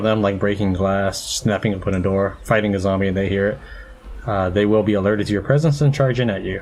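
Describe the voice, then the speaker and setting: Over noticeable background noise, a man speaks fairly quickly in a deadpan tone, with fairly low pitch and fairly even intonation. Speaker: let's play gamer. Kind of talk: gameplay commentary.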